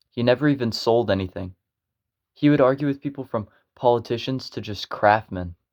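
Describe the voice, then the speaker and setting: A man with an American accent at medium pitch and a moderate pace, in a dry, close sound with no echo on a very clean recording with a silent background. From United States. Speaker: educational video creator. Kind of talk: explainer narration. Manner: halting, self-correcting.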